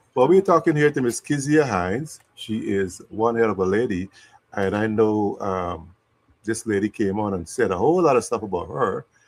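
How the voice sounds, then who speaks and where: A man with a Guyanese accent and very wide pitch swings. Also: medium pitch for a man, moderate pace. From Guyana. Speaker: interview host. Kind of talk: live interview.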